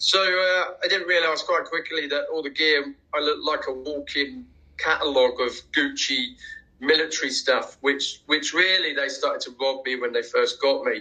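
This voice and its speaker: A man speaks at a moderate pace with a London accent. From England, Watford near London. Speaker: war veteran, former prisoner of war. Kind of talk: interview testimony. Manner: halting, many fillers and repeated words.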